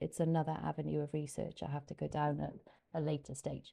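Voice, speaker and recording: A woman speaks with a Welsh accent. Her pace is fairly quick. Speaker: YouTuber and English teacher. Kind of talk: casual personal explanation to camera. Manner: hesitant, many fillers.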